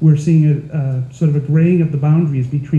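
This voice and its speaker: A man with an American accent, somewhat breathy and dark, mellow in tone, at a fairly high pitch and fairly quick pace with monotone, flat intonation. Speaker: nurse and health IT consultant. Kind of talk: panel presentation.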